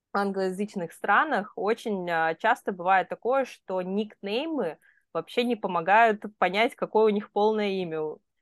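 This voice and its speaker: A woman speaks in an ordinary speaking voice at a medium pitch, fairly slowly, with ordinary pitch variation. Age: 30s. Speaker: podcast co-host. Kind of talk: casual chat.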